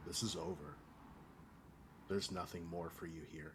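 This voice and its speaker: Quiet and gravelly, a man in a put-on character voice speaks at a very deep, low pitch and moderate pace over clear background noise. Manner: very quiet; commanding, dismissive.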